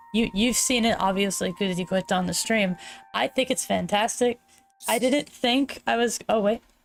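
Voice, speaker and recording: Vocal fry runs through this moderate-paced speech, which has very even loudness and ordinary pitch variation. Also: woman, medium pitch for a woman. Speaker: VTuber streamer. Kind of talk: casual live stream chat. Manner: usually very loud.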